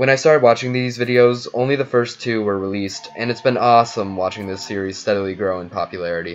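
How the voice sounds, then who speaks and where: A man with a medium pitch and ordinary pitch variation speaks at a very fast pace with hardly any pauses, over noticeable background noise. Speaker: YouTube video reviewer. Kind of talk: spoken video review narration.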